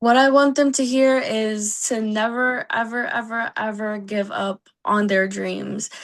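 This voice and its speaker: At a fairly slow pace and with hardly any pauses, a woman speaks in a fairly high pitch with fairly even intonation. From US, Puerto Rican and Mexican heritage. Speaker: singer. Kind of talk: interview.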